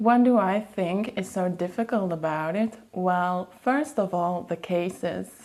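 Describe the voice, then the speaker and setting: This woman's voice sits at a medium pitch. She talks with hardly any pauses. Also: ordinary pitch variation, fairly slow pace. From Flanders, Belgium. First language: Dutch (Flemish). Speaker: language teacher and vlogger. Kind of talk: educational vlog.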